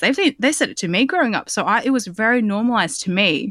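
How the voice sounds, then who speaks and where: A woman with an Australian accent speaks at a fairly quick pace and fairly high pitch with very wide pitch swings, the sound dry and close with no echo on a very clean recording with a silent background. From Australia, southwest Sydney. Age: 30s. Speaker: journalist. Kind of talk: casual chat.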